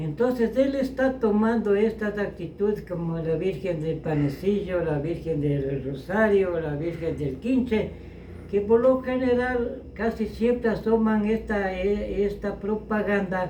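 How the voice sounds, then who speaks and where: Against noticeable background noise, a man talks with a high pitch. His pace is very slow, and his intonation is lively. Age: 80s+. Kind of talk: interview answer.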